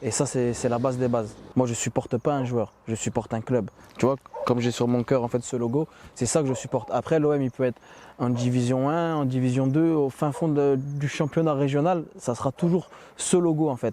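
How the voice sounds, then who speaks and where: A man with a plain, everyday voice speaks at a medium pitch and a moderate pace, his intonation fairly even. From Ardennes, northeastern France. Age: 30s. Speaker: football ultra supporter. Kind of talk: interview.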